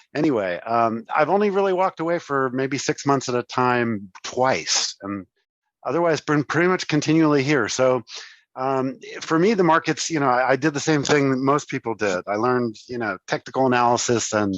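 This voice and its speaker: Recorded dry and close with no echo, a man with a medium pitch talks at a moderate pace using lively intonation. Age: 60s. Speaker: trader and trading educator. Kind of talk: live webinar Q&A, personal story. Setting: live online session. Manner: hesitant, many fillers.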